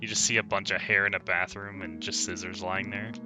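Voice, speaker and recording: A man is speaking. Music plays in the background. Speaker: let's play gamer. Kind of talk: game commentary with read-aloud dialogue. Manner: casual.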